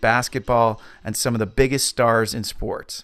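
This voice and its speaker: In an unremarkable speaking voice, a man talks at a fairly slow pace and medium pitch with fairly even intonation, on a very clean recording with a silent background. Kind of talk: podcast host narration.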